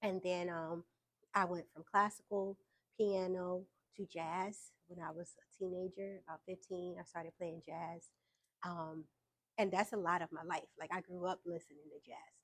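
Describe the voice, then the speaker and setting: Here a woman talks at a moderate pace. Her fairly low voice stays monotone, with flat intonation. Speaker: entrepreneur and musician. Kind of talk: interview. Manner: hesitant, many fillers.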